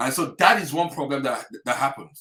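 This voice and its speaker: A man with an African accent at a fairly quick pace. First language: an African language. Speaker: health practitioner. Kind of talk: webinar talk. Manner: animated.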